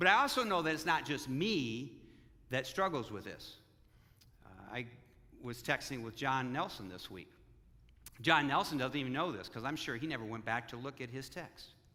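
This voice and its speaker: A man at medium pitch talks at a moderate pace with lively intonation and big swings in loudness, with audible room echo around him. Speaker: pastor. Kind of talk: sermon. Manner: halting.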